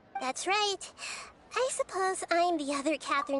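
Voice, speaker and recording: A put-on character voice that sounds female, squeaky and extremely high-pitched, it speaks at a moderate pace in a calm, gentle tone. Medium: video game. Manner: calm, gentle, measured.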